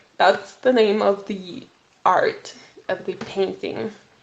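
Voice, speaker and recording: At a very slow pace, a woman with a non-native accent speaks with fairly even intonation over noticeable background noise. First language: not English. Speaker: podcast host. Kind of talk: solo educational podcast. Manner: halting, self-correcting.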